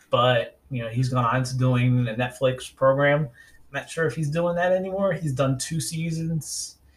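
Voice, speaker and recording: A man with a New York accent, somewhat breathy and medium-pitched, with ordinary pitch variation and big swings in loudness. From New York City, Staten Island. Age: 40s. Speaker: podcast host. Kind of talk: solo podcast monologue. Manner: casual, hesitant with fillers.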